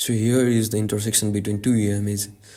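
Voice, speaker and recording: In a room with audible echo, a man with a dark, mellow, fairly low voice speaks at a moderate pace. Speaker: trading educator. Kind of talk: tutorial. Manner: halting, many fillers.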